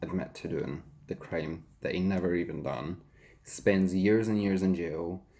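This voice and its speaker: A man speaks with a Scottish accent at a fairly slow pace. His pitch is very deep and low. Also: ordinary pitch variation. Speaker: YouTuber and hairdresser. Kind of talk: casual chat, eating show.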